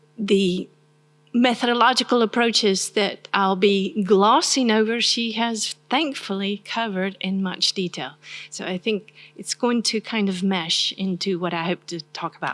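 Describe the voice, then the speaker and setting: A soft-spoken woman talks in a Southern US accent at a medium pitch. Her pace is fairly slow, with ordinary pitch variation. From US South. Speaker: university professor. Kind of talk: academic lecture.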